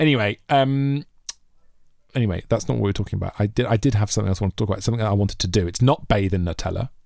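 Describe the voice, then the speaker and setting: A man with a British accent, fairly low-pitched, at a very fast pace, with ordinary pitch variation. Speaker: comedy podcast co-host. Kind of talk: casual banter. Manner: animated.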